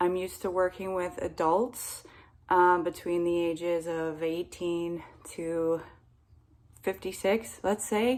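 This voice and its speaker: Speaking very slowly in an American accent, a woman uses a fairly low pitch and fairly even intonation. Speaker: English teacher. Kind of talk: casual talk to camera. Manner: friendly, encouraging.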